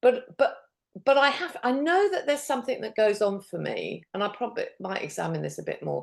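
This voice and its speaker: A woman with a British accent talks at a fairly quick pace. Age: 70s. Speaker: diabetes specialist nurse and coach. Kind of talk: interview conversation. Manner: animated.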